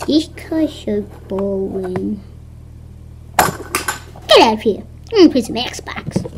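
In a cartoonish character voice, a female-sounding speaker talks at a fairly slow pace with long, frequent pauses over clear background noise. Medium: puppet. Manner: whiny, frustrated.

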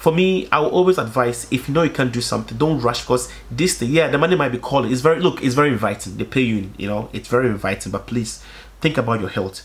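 Animated and lively in intonation, a man talks at a very fast pace. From Africa. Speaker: YouTuber. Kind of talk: casual monologue vlog. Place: home room.

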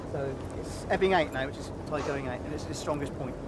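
Over loud background noise, a man talks at a very fast pace in a dry sound with no echo. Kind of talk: interview answer. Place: boat.

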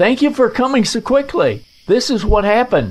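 Putting on a character voice, a man talks at a moderate pace in an extremely high pitch, with big pitch swings and a slightly mellow tone.

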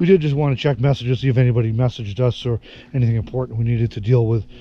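Very fast and somewhat breathy, a man speaks in a dark, mellow tone with ordinary pitch variation, the sound dry with no echo over light background noise. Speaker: travel vlogger. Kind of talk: casual vlog chat. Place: forest. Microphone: phone near.

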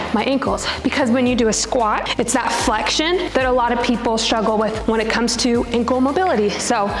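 Over clear background music and audible room echo, a woman speaks fairly quickly with a high pitch, ordinary pitch variation, very even loudness and hardly any pauses. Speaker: fitness trainer. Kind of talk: tutorial. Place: gym. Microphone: lapel.

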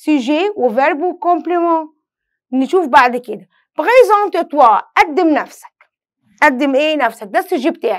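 Against a quiet background, a woman with an Egyptian accent speaks at a fairly slow pace, high-pitched, with very wide pitch swings. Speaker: French teacher. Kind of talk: lesson. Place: studio.

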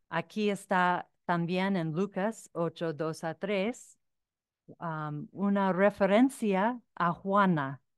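A woman with a non-native accent and ordinary pitch variation, the sound dry with no echo over a quiet background. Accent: foreign accent in Spanish. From United States. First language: English (speaking Spanish). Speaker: author and researcher; speaker. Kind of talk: lecture. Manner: halting. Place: hall. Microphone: podium.

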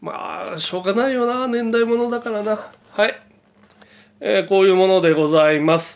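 A man speaks at a moderate pace in a high pitch. His pitch varies in an ordinary way. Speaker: camera and photography YouTuber. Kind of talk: casual show-and-tell vlog. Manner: polite formal speech with many fillers.

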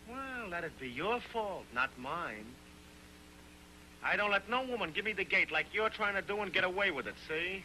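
A man puts on a character voice, pitched high for a man, with a bright, sharp tone. His intonation is lively and his pace moderate.

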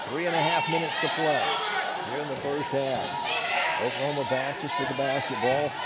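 Loud background noise surrounds a fairly quick pace broken by long, frequent pauses, in a dry sound with no echo. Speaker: basketball play-by-play announcer. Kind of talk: live sports commentary, play-by-play. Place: stadium. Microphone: headset.

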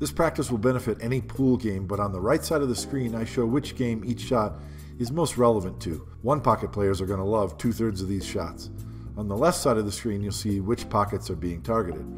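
Music plays behind a man with a fairly low voice. He talks at a fairly quick pace with very wide pitch swings. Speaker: pool instructor. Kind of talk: tutorial.

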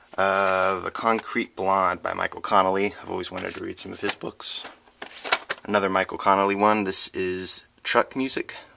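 A man talks at a moderate pace with big swings in loudness. Noticeable background noise runs behind him. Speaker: book vlogger. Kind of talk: casual vlog chat. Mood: upbeat, enthusiastic. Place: home room. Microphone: phone near.

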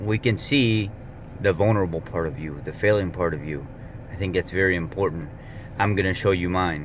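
A man speaks at a moderate pace with very deep, low pitch and fairly even intonation. There is light background noise and a dry sound with no echo. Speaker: fitness vlogger. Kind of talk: casual vlog chat. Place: car. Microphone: phone near.

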